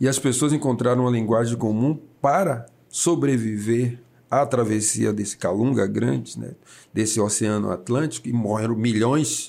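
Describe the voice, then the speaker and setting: On a very clean recording with a silent background, a man talks at a moderate pace and medium pitch, his tone dark and mellow and his pitch varying in an ordinary way. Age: 60s. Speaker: city councillor. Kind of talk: casual interview. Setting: studio, broadcast live on radio and video.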